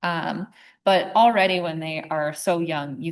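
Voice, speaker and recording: Against a quiet background, a woman with an ordinary speaking voice talks at a fairly low pitch with ordinary pitch variation. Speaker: wildlife conservation speaker. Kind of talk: presentation.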